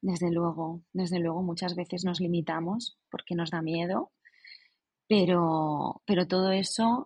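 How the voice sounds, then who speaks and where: A somewhat breathy woman at medium pitch, speaking at a fairly slow pace. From Spain, Alicante province. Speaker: writer. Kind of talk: casual interview chat.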